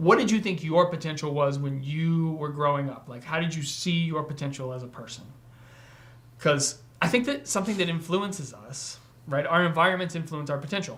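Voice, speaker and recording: Audible room echo surrounds a man with a fairly high pitch. He talks at a fairly quick pace with big swings in loudness. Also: ordinary pitch variation. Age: 40s. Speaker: podcast host. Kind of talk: casual chat. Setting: livestream.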